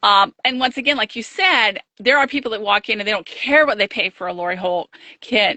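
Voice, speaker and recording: With ordinary pitch variation, this is a normal speaking voice. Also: woman, fairly high pitch for a woman, fairly quick pace. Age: 60s. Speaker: quilt shop owner. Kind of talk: interview. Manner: casual conversational.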